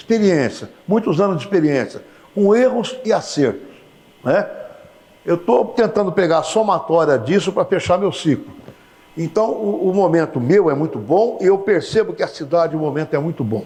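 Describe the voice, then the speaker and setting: A man's high-pitched voice with lively intonation at a moderate pace, against noticeable background noise. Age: 70s. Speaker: TV interviewer. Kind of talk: TV interview.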